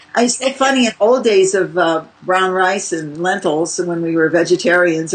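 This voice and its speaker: A woman at medium pitch over noticeable background noise. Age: 70s. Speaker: raw food cookbook author. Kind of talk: interview.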